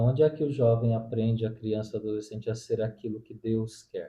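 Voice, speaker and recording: The man's voice sits at medium pitch and sounds somewhat breathy. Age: 40s. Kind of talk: interview answers. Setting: at the guest's home.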